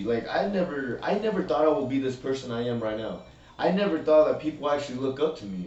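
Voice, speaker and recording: A man's fairly high, lively voice at a fairly quick pace, with noticeable background noise and audible room echo. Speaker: recovering addict guest. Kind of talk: testimony. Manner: loud.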